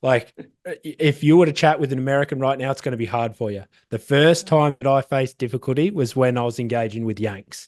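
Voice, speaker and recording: A man with an Australian accent, medium in pitch and animated in tone, at a very fast pace, in dry, close sound with no echo. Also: ordinary pitch variation. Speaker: SEO agency founder. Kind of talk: casual interview.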